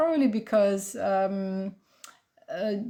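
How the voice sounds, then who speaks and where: A woman talks at a very slow pace with a fairly high pitch and ordinary pitch variation. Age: 50s. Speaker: travel club member. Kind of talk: testimony.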